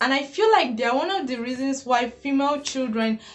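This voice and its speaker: Speaking in a high pitch, a woman talks with a Nigerian accent. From Nigeria (Igbo). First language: Igbo. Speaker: YouTuber. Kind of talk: casual vlog monologue.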